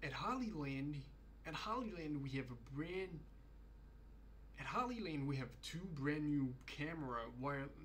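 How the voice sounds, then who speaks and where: With light background noise, a man with a non-native accent speaks in lively intonation, leaving long, frequent pauses. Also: fairly high pitch for a man, fairly slow pace. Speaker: product presenter practising. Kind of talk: trade show product pitch, repeated takes. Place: home room. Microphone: studio mic.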